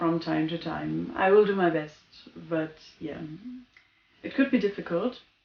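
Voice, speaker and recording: A woman is speaking. She has a German accent. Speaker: goth lifestyle vlogger. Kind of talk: casual vlog talk. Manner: spontaneous, somewhat halting.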